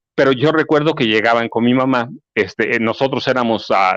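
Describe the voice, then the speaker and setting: A man's medium-pitched voice, dry and close with no echo, over a quiet background. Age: 60s. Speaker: journalist and author. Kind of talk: interview. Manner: halting, many fillers.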